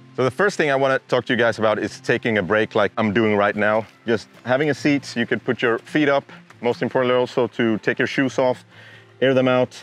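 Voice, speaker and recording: Over background music, a man with a Swedish accent talks at a fairly quick pace and medium pitch, his pitch varying in an ordinary way. The sound is dry and close with no echo, and his loudness stays very even. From Sweden. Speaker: outdoor YouTuber. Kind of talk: casual talk to camera. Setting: outdoors.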